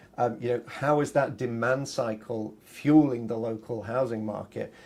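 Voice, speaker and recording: A man is talking. His tone is dark and mellow, with ordinary pitch variation. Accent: Yorkshire. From Yorkshire, northern England. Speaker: realtor. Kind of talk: live stream talk. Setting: live stream. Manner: halting, many fillers.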